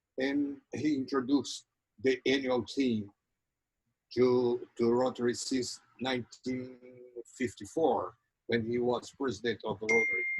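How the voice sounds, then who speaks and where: Fairly slow and with long, frequent pauses, a man speaks at a medium pitch in a northeastern Brazilian accent, his intonation fairly even. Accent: Brazilian (Ceará) accent in English. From Brazil, Ceará. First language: Portuguese. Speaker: Rotary program host. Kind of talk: interview introduction speech. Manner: halting.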